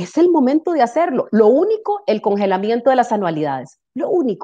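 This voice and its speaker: This woman's voice is high-pitched with a dark, mellow tone. She talks at a fairly quick pace with very wide pitch swings. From Costa Rica. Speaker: political analyst. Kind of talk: political commentary.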